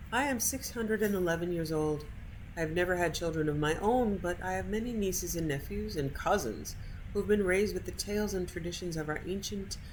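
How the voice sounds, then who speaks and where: With an American accent, the speaker talks at a fairly quick pace with ordinary pitch variation and audible room echo. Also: woman, fairly low pitch for a woman. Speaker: video game streamer. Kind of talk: reading aloud. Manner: casual.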